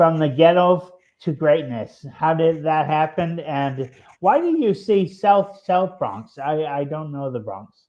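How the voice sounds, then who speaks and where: A man's fairly high pitch, with ordinary pitch variation, unfolds at a very slow pace. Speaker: podcast host. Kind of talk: interview. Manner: halting, post-stroke speech.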